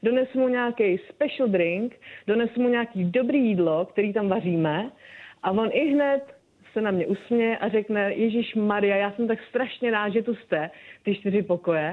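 A woman speaks in a normal speaking voice at a fairly high pitch and moderate pace, with ordinary pitch variation and very even loudness. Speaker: bartender. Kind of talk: casual interview. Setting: phone call.

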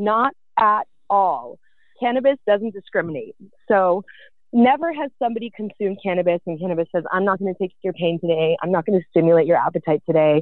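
A woman in a Californian accent, at medium pitch and a fairly quick pace. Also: lively intonation. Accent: Californian American. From San Francisco Bay Area, US. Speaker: cannabis entrepreneur. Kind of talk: casual interview chat.

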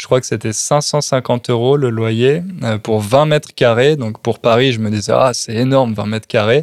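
This man speaks at a fairly slow pace with a medium pitch. His intonation stays fairly even. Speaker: podcast host teaching French. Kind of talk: casual chat. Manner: clear, adapted for learners.

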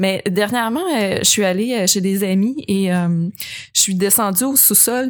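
Speaking at a fairly slow pace in a Quebec accent, a woman shows ordinary pitch variation. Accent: Québécois French. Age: 30s. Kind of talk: casual chat.

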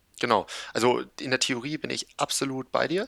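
The man's bright, sharp tone carries ordinary pitch variation. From northern Germany, Kiel. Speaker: e-commerce agency founder. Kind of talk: interview.

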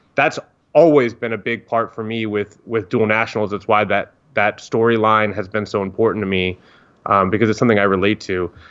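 Against a quiet background, a man talks at a fairly quick pace in a plain, everyday voice. His pitch sits fairly low, and his intonation stays fairly even. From Northern Virginia, US (DC area). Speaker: soccer journalist. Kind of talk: interview.

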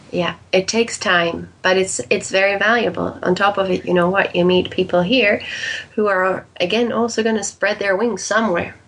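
Speech comes at a moderate pace with fairly even intonation and very even loudness. Noticeable background noise runs underneath. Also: woman, medium pitch for a woman. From Netherlands and Canada, raised as an expat child. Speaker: life and career coach. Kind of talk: interview.

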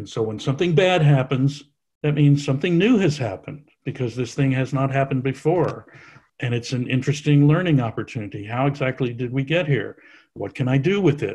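A man's somewhat breathy, fairly high voice, fairly quick, with ordinary pitch variation. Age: 70s. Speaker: author and science writer. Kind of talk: interview conversation.

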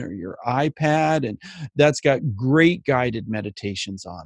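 A man with a medium-pitched voice speaks at a moderate pace with lively intonation, recorded dry and close with no echo against a quiet background. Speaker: mindfulness speaker and life coach. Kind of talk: interview.

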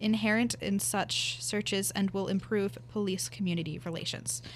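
A woman with an American accent talks at a fairly quick pace and a medium pitch. Her voice shows vocal fry and very wide pitch swings. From rural Pennsylvania. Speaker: university student. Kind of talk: reading aloud.

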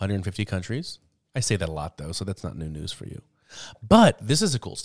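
At a very fast pace, a man with a fairly low pitch speaks in an animated tone with lively intonation and big swings in loudness, the sound dry and close with no echo. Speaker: podcast co-host. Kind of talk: casual chat.

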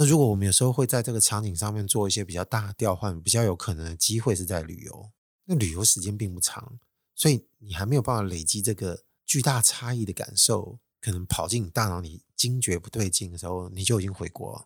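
In a very clean recording with a silent background, a man talks at a fairly quick pace with a fairly low pitch, a somewhat breathy sound and ordinary pitch variation. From Taiwan. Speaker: solo podcast host. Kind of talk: casual monologue.

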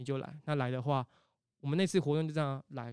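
Talking at a very fast pace, a man uses a fairly high pitch and fairly even intonation, with a dry, close sound, no echo and a very clean recording with a silent background. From Taiwan, Tainan. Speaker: temple festival culture practitioner. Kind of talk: casual interview.

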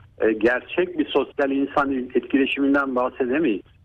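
A man talks in a normal speaking voice at a moderate pace. His pitch sits fairly high. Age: 50s. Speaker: neurologist. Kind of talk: radio interview. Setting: phone call.

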